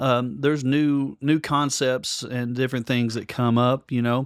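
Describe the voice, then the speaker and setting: A man speaks fairly slowly in a Kentucky accent, at a medium pitch with monotone, flat intonation. The recording is very clean with a silent background and a dry, close sound with no echo. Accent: US Southern (Kentucky). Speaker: podcast co-host, musician and audio enthusiast. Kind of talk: casual chat. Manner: halting, many fillers.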